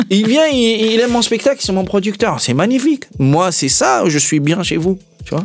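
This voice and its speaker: Over noticeable background noise, a man with a high pitch moves at a moderate pace while his pitch swings very widely. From Tunisia. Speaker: comedian and actor. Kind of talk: interview. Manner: animated, repeats words.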